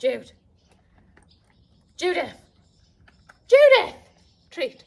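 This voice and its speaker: Pitched extremely high, the voice is a put-on character. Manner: calling a dog for a treat.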